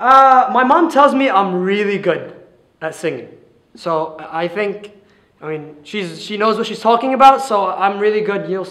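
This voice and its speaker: A man talks at a moderate pace with a bright, sharp tone and lively intonation. His loudness swings widely, and the background is quiet. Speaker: stand-up comedian. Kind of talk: stand-up comedy set. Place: classroom. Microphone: handheld.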